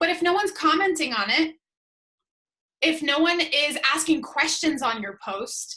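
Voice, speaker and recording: A woman with a high pitch uses a raised, projected voice, moving at a moderate pace with very wide pitch swings. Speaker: social media coach. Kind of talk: webinar talk. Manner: casual, conversational.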